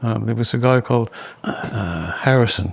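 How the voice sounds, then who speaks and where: The speaker talks at a fairly quick pace with ordinary pitch variation. Noticeable background noise can be heard. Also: man. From Latin America and Canada. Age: 70s. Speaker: guitarist. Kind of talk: casual chat. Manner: halting.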